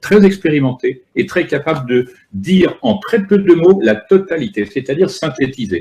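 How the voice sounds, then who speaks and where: With vocal fry and a dark, mellow tone, a man talks at a moderate pace while his pitch swings very widely. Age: 60s. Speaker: author and filmmaker. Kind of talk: lecture.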